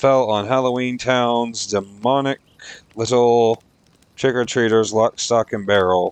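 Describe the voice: What we hear is plain reading aloud.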